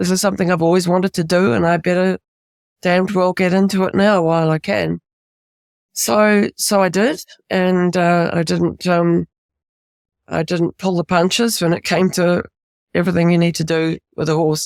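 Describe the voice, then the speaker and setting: At a moderate pace with long, frequent pauses, a woman with a New Zealand accent speaks in a fairly low voice with fairly even intonation and very even loudness, recorded dry and close with no echo. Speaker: author, retired music professor. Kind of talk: interview.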